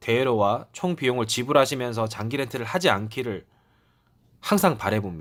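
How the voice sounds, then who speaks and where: A man at a medium pitch with lively intonation and a moderate pace, on a very clean recording with a silent background. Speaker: car rental salesperson. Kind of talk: sales explainer video. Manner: hesitant with fillers; polite, formal.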